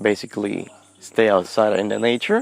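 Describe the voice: A man speaks at a moderate pace with a fairly low pitch and ordinary pitch variation. His voice has vocal fry.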